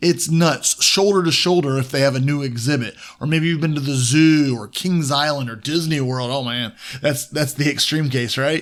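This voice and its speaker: A man with an American accent in a normal speaking voice, fairly high pitch, ordinary pitch variation and a moderate pace. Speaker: devotional host. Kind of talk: devotional talk to listeners. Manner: warm, upbeat.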